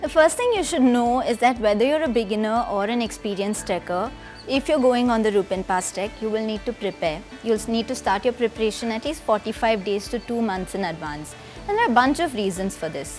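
Clear music plays in the background. A woman speaks over it at a fairly quick pace. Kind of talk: informational explainer. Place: home room. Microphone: lapel.

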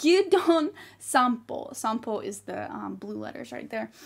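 A woman with an American accent speaks at a high pitch. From US, small town. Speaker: convention panelist, English teacher in Japan. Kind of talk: convention panel presentation. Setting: recorded video call from Japan. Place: home room.

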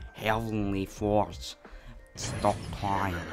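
Over clear background noise, a man puts on a character voice with a Russian accent at a fairly low pitch. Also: ordinary pitch variation.

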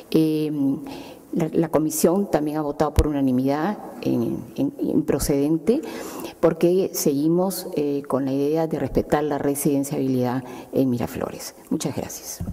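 A woman with a very deep, low pitch speaks at a fairly slow pace with ordinary pitch variation. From Peru. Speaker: city councillor. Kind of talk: formal council report. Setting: council chamber. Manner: halting. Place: hall. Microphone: podium.

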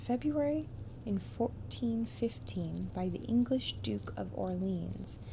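Soft-spoken and fairly slow, a woman talks over noticeable background noise. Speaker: content creator. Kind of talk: soft-spoken trivia reading, ASMR-like. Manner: soft, hushed ASMR reading voice.

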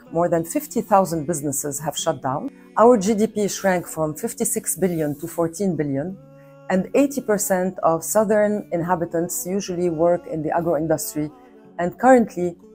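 A woman speaks at a fairly slow pace with a fairly low pitch. Faint music plays in the background. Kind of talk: prepared address to camera. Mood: serious, concerned. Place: home room.

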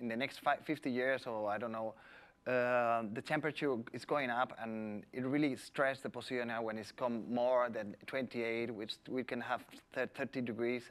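A man with a Spanish accent speaks at medium pitch and a fairly slow pace, his intonation monotone and flat. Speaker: environmental official. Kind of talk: presentation. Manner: halting.

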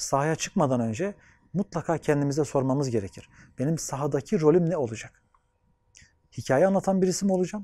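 Against a quiet background, a man with a fairly high pitch and a dark, mellow tone talks at a fairly quick pace with lively intonation, the sound dry with no echo. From Anatolia, Turkey; Turkey. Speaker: sociologist and gerontology researcher. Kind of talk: interview monologue; interview answer. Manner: formal. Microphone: lapel.

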